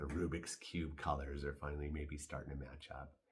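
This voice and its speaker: At a moderate pace, a man talks in a very deep, low voice with vocal fry. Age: 60s. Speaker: stage actor. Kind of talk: casual reflective talk to camera.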